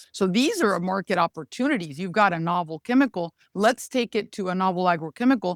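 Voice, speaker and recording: With a Spanish accent, a woman speaks at a medium pitch and a fairly quick pace, hardly pausing, her intonation lively and the sound dry and close with no echo. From Mexico. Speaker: regulatory affairs lawyer and consultant. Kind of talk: podcast interview.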